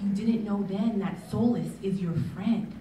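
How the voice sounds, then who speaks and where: A woman speaks with audible room echo. Light background noise is present. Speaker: spoken word poet. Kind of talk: live spoken word poetry performance. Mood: reflective, rhythmic, urging. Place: stage. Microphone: pa.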